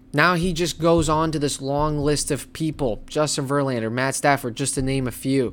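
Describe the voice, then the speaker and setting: A man talks at a moderate pace and a fairly high pitch, on a very clean recording with a silent background. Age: 20s. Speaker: sports podcast host. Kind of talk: solo sports commentary. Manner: animated.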